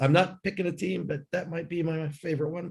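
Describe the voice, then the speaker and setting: A somewhat breathy man at a fairly quick pace. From United States. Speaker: sports lawyer and arbitrator. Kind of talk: panel discussion. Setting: video call from a hotel room. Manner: halting.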